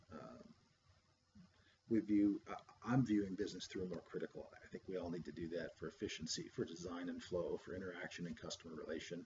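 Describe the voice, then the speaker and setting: A man talks at a very fast pace in a very deep, low, somewhat breathy voice. His pitch varies an ordinary amount. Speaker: graduate student presenting coursework. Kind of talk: recorded class presentation. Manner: hesitant, many fillers.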